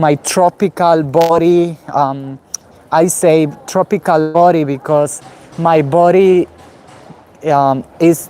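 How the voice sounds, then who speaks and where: Very slow delivery with long, frequent pauses over noticeable background noise. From Guatemala. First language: Spanish. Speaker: vlogger. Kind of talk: live stream walking vlog. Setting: outdoors, walking in city. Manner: halting, many fillers.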